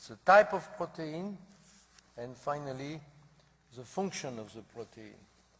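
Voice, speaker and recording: The man's pace is fairly slow. He has a non-native accent. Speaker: center director introducing the speaker. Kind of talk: speaker introduction. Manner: halting.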